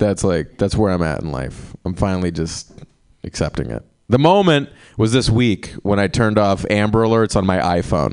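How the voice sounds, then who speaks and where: At a moderate pace, a man uses a plain, everyday voice, fairly low in pitch, with lively intonation. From small-town North Carolina. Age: 20s. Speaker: stand-up comedian. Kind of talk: stand-up. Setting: stage with audience.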